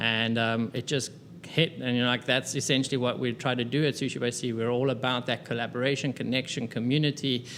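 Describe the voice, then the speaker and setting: Fairly quick, very evenly loud delivery in a South African accent, with monotone, flat intonation. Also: man, medium pitch for a man. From South Africa, Cape Town. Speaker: restaurant co-founder and business consultant. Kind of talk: interview. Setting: restaurant.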